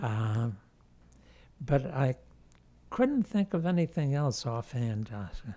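With an American accent, a man speaks at a very slow pace in a fairly high, somewhat breathy voice with a dark, mellow tone, very wide pitch swings, and long, frequent pauses. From New York City. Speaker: local newspaper reporter. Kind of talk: casual interview.

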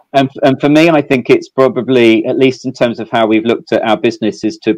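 A man with a slight English accent, at a fairly quick pace with ordinary pitch variation, in a dry, close sound with no echo. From southeast England. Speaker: fintech company executive. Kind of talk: fireside chat interview. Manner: hesitant, filler-heavy.

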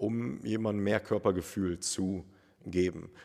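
Fairly low in pitch, a man speaks in a normal speaking voice with ordinary pitch variation, captured on a very clean recording with a silent background. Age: 30s. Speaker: personal trainer. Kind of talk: casual interview.

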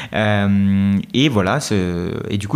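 A man's voice sits fairly low. Noticeable background noise runs beneath it. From India, raised in France from age 8. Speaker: developer and YouTube creator. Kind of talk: casual interview.

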